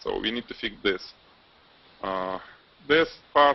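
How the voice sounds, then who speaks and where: This is a man speaking. His pace is fairly slow. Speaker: photography host / instructor. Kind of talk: group video hangout critique. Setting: video call. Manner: halting, many fillers.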